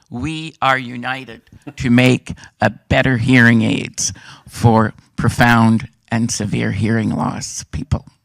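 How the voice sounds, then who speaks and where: Speaking with a French Canadian accent, a man keeps a medium pitch and fairly even intonation. His pace is very slow. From French Canada. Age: 60s. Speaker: hearing aid user. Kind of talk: testimony.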